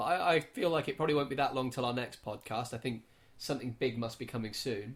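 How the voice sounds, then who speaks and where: This man talks very fast at a medium pitch. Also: ordinary pitch variation. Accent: American. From England. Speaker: podcast co-host. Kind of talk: casual chat.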